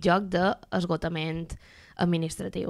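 On a very clean recording with a silent background, a woman with an ordinary speaking voice speaks slowly-ish, at a fairly slow pace, in a fairly low pitch with fairly even intonation. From Mallorca. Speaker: doctoral student and activist. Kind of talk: radio interview.

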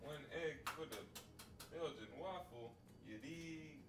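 Music plays in the background as a man talks at a very slow pace. His pitch is fairly high and his intonation lively. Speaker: home vlogger. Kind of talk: casual cooking vlog talk to camera. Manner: stuttering, skipping words. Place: kitchen. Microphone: camera far.

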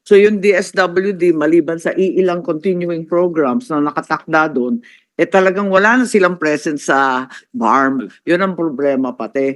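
A moderate pace against a quiet background. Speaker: senator at a hearing. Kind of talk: senate hearing remarks.

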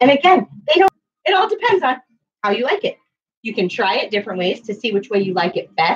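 A woman is talking here. Her pace is very fast. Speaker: cooking teacher for children. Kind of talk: tutorial. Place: kitchen. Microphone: webcam.

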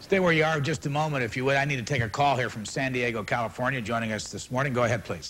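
A man talks at a very fast pace with hardly any pauses. His pitch varies in an ordinary way, over light background noise. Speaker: TV interview host. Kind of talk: live call-in broadcast. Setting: on location, live broadcast. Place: hall. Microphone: lapel.

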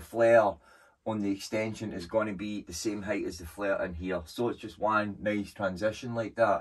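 With a plain, everyday voice and a fairly low pitch, a man talks in fairly even intonation over a quiet background. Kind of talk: casual vlog chat. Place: workshop. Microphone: camera far.

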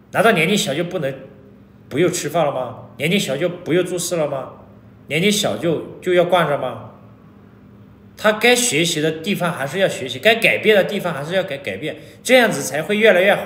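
A man with a high voice, speaking at a fairly quick pace, with audible room echo. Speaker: vlogger. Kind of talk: casual vlog chat. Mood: annoyed, lecturing. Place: home room. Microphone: phone near.

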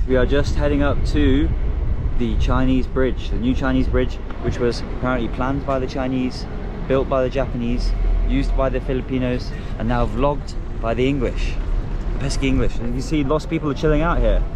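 A man's fairly quick speech, dry with no echo, over noticeable background noise. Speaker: travel vlogger. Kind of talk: casual vlog chat. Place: car. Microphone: phone near.

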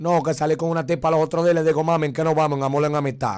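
A very fast-talking man with a fairly high pitch and an animated tone, against a quiet background. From Dominican Republic. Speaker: viral internet personality; interview guest. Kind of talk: casual chat. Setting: studio. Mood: joking, playful. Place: studio. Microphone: studio mic.

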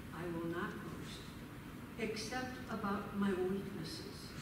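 A woman speaks at a very slow pace. Noticeable background noise and audible room echo surround her voice. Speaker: scripture reader. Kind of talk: scripture reading. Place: church.

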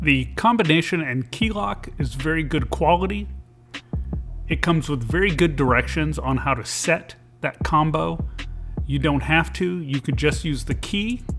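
Speech at a moderate pace with clear music in the background. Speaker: truck owner reviewing a product. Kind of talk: tutorial. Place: car.

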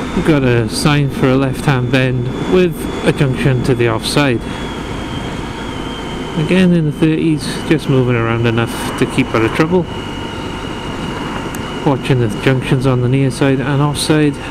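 The speech moves at a moderate pace with long, frequent pauses against noticeable background noise. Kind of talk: riding commentary. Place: motorbike. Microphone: helmet.

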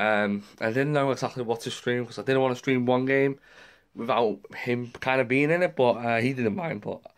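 Speaking at a fairly quick pace in an English accent, a man with a medium pitch comes through on a very clean recording with a silent background. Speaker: gaming streamer. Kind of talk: vlog.

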